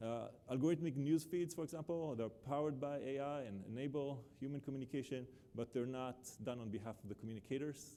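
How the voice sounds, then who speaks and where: A man with an Israeli accent speaks very fast in a dark, mellow tone. His pitch is medium, with ordinary variation. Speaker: professor. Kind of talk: keynote lecture. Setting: conference stage with live captioning. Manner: many filler uhs, hesitant.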